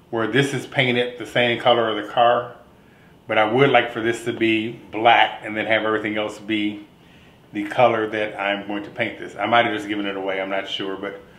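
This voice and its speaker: A man talks at a moderate pace. The room echo is audible. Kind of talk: casual tutorial vlog. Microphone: phone near.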